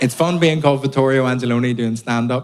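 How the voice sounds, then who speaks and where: A man speaks at a very fast pace with a Belfast accent. His pitch is medium and his intonation fairly even. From Belfast, Northern Ireland.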